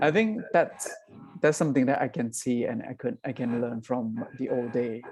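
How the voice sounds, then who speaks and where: This man speaks at a fairly slow pace with a Southeast Asian accent. His pitch sits in the medium range. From northern Thailand, Akha hill village. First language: Akha. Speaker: social entrepreneur, coffee business founder. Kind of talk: interview on webinar. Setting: video call webinar. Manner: halting, many repeated words.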